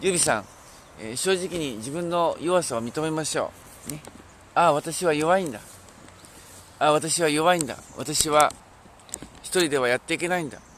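A man's fairly high-pitched voice at a moderate pace, with ordinary pitch variation, big swings in loudness, long, frequent pauses and noticeable background noise. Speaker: pastor. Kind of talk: sermon. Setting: outdoors.

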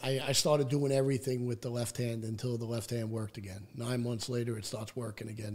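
A man talks in a New York accent. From Staten Island, New York City. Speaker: person in addiction recovery. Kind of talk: personal recovery story in interview.

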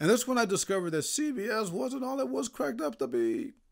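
An American accent with very wide pitch swings, in a very clean recording with a silent background. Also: man. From Indiana. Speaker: sports journalist. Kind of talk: casual monologue.

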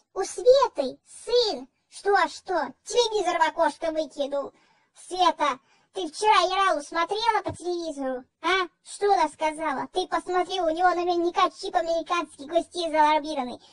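A put-on character voice, female-sounding and extremely high-pitched, moving at a moderate pace. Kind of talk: comedy sketch. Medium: role play. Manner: fussy, agitated.

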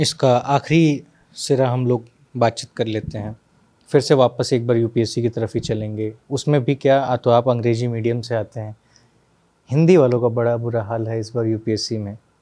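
Against a quiet background, a man speaks at a moderate pace in a dark, mellow tone. His intonation is fairly even. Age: 20s. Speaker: interviewer. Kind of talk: interview. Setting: on location. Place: office. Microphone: handheld.

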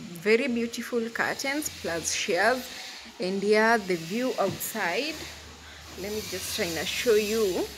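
Very slow speech with ordinary pitch variation over noticeable background noise. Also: woman. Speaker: vlogger. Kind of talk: casual vlog chat. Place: home room. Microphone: phone near.

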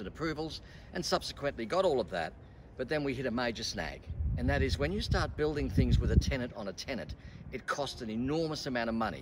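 A man talking at a very fast pace over loud background noise. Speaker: presenter. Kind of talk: presentation to camera. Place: street.

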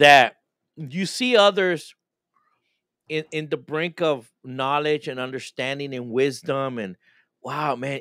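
The sound is dry with no echo, over a quiet background. The speaker keeps a moderate pace. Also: man. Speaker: pastor, podcast host. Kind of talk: casual chat. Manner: halting, repeats words. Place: home room.

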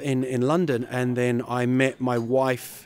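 A man's voice, dry sound with no echo. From New Zealand. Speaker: comedian. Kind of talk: interview.

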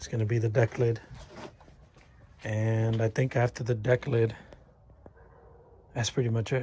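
Moderate pace over light background noise. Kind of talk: casual vlog commentary. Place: garage. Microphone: phone near.

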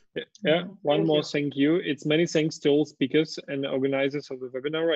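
A man with a Russian accent rattles along at a very fast pace in a monotone, flat intonation. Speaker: webinar host and moderator. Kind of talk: webinar moderation. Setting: video call.

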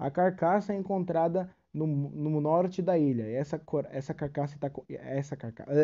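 The tone is dark and mellow. There are hardly any pauses. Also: man, fairly high pitch for a man, ordinary pitch variation, moderate pace. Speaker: YouTuber. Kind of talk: casual video explainer. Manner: hesitant, filler-heavy; reading from script at times.

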